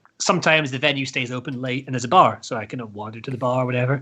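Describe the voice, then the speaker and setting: With a Scottish accent, a man talks at a fairly quick pace in an animated tone that is bright and sharp. The background is quiet. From Scotland. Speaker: heavy metal band frontman. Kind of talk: casual chat.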